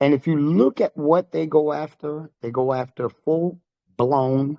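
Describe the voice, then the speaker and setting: Speaking at a fairly slow pace, a man has an unremarkable speaking voice, fairly high in pitch, with fairly even intonation. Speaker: head of a private trust group, online channel owner. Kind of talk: casual monologue to viewers. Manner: blunt, forceful.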